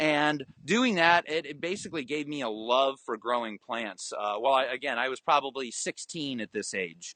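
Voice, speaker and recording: In an American accent, a man with a plain, everyday voice talks at a moderate pace and a fairly high pitch, his intonation lively and with hardly any pauses. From US, Florida (Orlando). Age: 30s. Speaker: aquaponics farmer. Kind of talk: interview.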